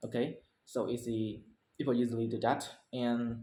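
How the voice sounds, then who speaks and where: In a Vietnamese accent, a man speaks at medium pitch. His tone is dark and mellow. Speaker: English learner. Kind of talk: speaking practice presentation. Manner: halting, many self-corrections.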